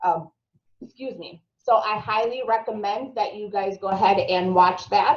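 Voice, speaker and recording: A woman with a strong Minnesotan accent speaks with ordinary pitch variation and big swings in loudness. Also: medium pitch for a woman, fairly slow pace. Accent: thick Minnesota. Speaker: marketing instructor. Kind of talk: webinar tutorial.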